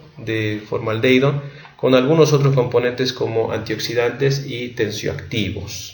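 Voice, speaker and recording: Noticeable background noise and audible room echo surround a man at a medium pitch. He talks at a fairly slow pace with fairly even intonation. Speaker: medical education youtuber. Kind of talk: lecture. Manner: halting.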